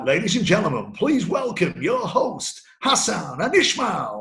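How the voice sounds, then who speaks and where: A man puts on a raspy character voice at a high pitch. He delivers it at a moderate pace. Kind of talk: formal announcer.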